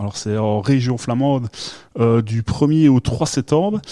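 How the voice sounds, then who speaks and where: A man speaks in a dark, mellow tone with ordinary pitch variation. His pace is fairly slow. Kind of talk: casual, conversational.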